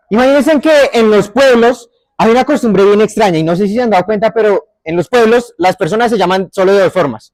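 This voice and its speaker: A man with a Bogotá accent speaks at a high pitch. His intonation is lively and his pace fairly quick. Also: dry, close sound with no echo. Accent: Bogotá (rolo). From Bogotá area, Colombia. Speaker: storyteller. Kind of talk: oral storytelling.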